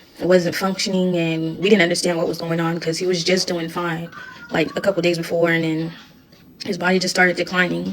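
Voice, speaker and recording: A woman speaks at a fairly quick pace with a fairly low pitch and flat, monotone intonation, with music playing in the background. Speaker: widow sharing her story. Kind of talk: personal testimony vlog.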